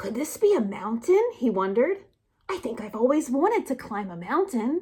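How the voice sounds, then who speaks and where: A woman uses a put-on character voice with a high pitch. Her pitch swings very widely at a moderate pace. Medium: read story. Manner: soft, wondering.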